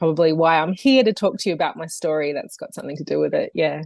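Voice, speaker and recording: An Australian accent from a woman, ordinary pitch variation, and a quiet background. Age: 40s. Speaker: yoga teacher and health coach. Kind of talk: podcast interview. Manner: hesitant, many fillers.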